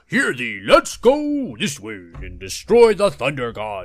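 Putting on a character voice, a man talks high in pitch at a fairly slow pace. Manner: jovial, archaic.

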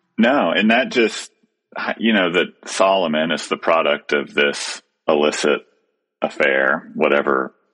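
A man speaks at a fairly slow pace. His speech has long, frequent pauses. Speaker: podcast host. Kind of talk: prayer and casual discussion.

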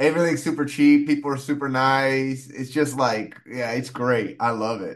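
A man at medium pitch with an ordinary speaking voice, fairly even intonation, a moderate pace and hardly any pauses. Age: 30s. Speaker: comedian. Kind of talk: casual chat.

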